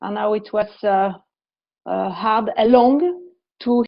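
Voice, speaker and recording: A woman with a French accent at a fairly slow pace. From France. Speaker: investment professional. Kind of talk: workshop presentation. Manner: halting.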